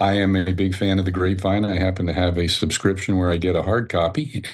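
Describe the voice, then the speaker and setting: A man speaks at a fairly quick pace. His pitch is very deep and low, with fairly even intonation. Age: 70s. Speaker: AA member sharing recovery story. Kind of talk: testimony. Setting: video call.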